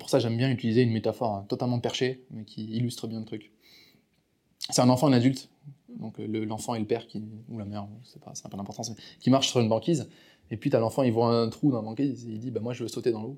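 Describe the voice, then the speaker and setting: Speech comes at a very fast pace with fairly even intonation, broken by long, frequent pauses. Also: man, medium pitch for a man. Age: 20s. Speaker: entrepreneur coach and speaker. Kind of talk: interview.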